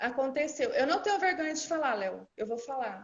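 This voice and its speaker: A woman with a Minas Gerais accent. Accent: Minas Gerais accent, rolled R noticeable. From Minas Gerais, Brazil (Uberlândia). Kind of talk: personal testimony in a live interview.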